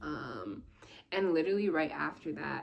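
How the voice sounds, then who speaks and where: A woman speaks at a fairly slow pace with ordinary pitch variation, in an ordinary speaking voice. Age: 20s. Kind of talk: casual talk to camera.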